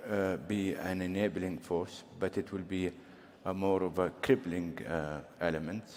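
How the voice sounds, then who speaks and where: This man has a very deep, low voice and a non-native accent. He speaks at a fairly slow pace with fairly even intonation. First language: not English. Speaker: government official panelist. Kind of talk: panel discussion. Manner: halting.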